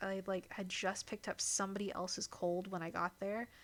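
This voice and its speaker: Speaking in an American accent, a woman keeps to a medium pitch and a moderate pace. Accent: American accent noticed by locals abroad. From US Midwest. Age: 30s. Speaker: streamer. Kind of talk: casual chat. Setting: live stream. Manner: hesitant, many fillers.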